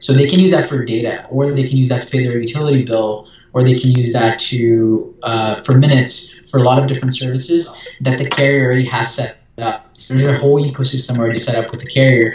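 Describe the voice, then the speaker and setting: Words come at a very fast pace with fairly even intonation, and audible room echo surrounds them. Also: man, medium pitch for a man. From Brazil. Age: young. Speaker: startup founder and CEO. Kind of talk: interview.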